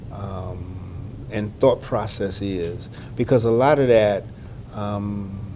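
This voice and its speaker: A man's fairly low voice in a Southern US accent, at a very slow pace with long, frequent pauses and audible room echo. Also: ordinary pitch variation. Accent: Southern US (Georgia). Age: 60s. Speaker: health outreach manager. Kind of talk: interview. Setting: conference. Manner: halting, many fillers.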